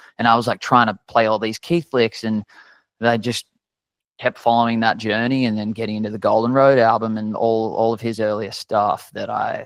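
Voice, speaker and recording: In an Australian accent, the voice stays monotone, with flat intonation. The sound is dry and close, with no echo and a quiet background. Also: man, medium pitch for a man, moderate pace. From Australia, Sydney Northern Beaches. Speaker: country singer-songwriter. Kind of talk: podcast interview.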